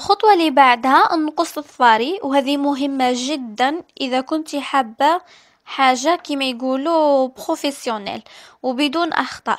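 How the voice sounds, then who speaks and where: A high-pitched woman at a fairly slow pace, with ordinary pitch variation, in a very clean recording with a silent background. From Algeria. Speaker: beauty youtuber. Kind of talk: beauty tutorial talk to camera. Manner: casual, chatty.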